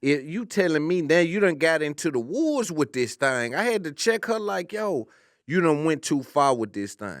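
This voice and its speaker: Speaking at a moderate pace, a man with an American accent has a fairly high pitch and very wide pitch swings. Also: very clean recording, silent background. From US South. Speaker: comedian. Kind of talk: casual chat. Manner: animated.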